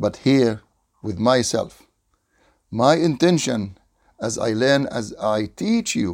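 A man with an Arabic accent at a very slow pace, with very wide pitch swings. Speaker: Islamic studies teacher. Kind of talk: lecture. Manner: repetitive, emphatic.

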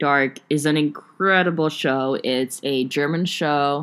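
In a very clean recording with a silent background, a woman speaks with a very deep, low voice and ordinary pitch variation. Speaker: solo podcast host. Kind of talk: casual chat. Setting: recording from bed. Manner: filler-heavy, unrehearsed.

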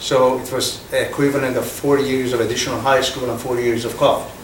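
A man speaks at a medium pitch with a Persian accent. There is noticeable background noise. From Iran. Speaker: business executive. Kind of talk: fireside chat interview. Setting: stage with audience.

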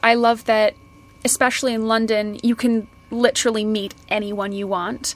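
The speech carries a Canadian accent. The intonation is monotone and flat. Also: woman. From Canada, Kelowna near Vancouver. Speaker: fashion marketer and podcaster. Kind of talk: casual interview. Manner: laughs often.

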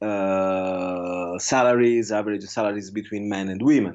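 A man speaks with an Italian accent. His pace is fairly slow. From Italy. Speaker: researcher. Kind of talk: interview. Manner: halting.

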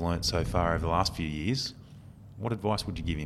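Very deep and low in pitch, with ordinary pitch variation, a man talks at a fairly quick pace in an Australian accent. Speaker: podcast host and recruiter. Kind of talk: casual interview.

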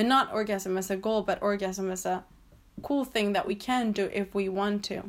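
At a moderate pace, a woman speaks with medium pitch and fairly even intonation in a normal speaking voice. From Mexico, also raised in Chile and the US. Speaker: feminist activist and writer. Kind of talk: casual interview.

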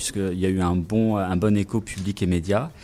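At a moderate pace, a man talks with a fairly low pitch and a dark, mellow tone. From Brittany, France. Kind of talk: radio interview.

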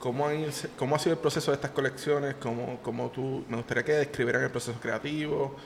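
A man with a Puerto Rican accent talks at a very fast pace in a fairly high voice with fairly even intonation, over noticeable background noise. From Puerto Rico, Yauco. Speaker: podcast host. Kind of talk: interview.

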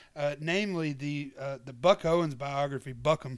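In a very clean recording with a silent background, a man with a Southern US accent speaks at a fairly slow pace. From US South, Georgia. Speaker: podcast host. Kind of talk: show announcements monologue; casual interview chat.

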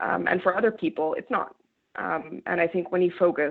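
At a fairly quick pace, a woman speaks with a Canadian accent and a fairly low pitch. She has an ordinary speaking voice with ordinary pitch variation. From rural Canada. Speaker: journalist. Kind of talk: interview.

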